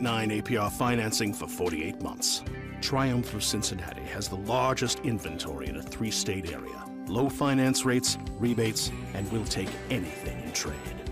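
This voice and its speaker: With music in the background, a man speaks at a moderate pace, his fairly low pitch swinging very widely. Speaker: voice actor. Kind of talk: radio commercial read.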